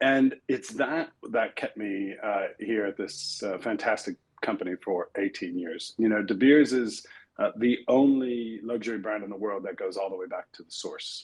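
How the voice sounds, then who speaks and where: A man talks at a moderate pace with an American accent. His loudness swings widely. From New York area, US. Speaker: corporate executive. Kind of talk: interview conversation. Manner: hesitant with many fillers.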